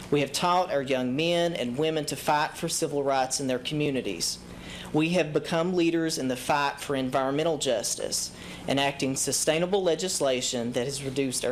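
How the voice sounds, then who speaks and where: A man with an Eastern Kentucky accent speaks at a fairly high pitch and a moderate pace, with ordinary pitch variation. Audible room echo is present. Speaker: public commenter. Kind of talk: prepared public speech. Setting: city council chamber with audience. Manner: formal.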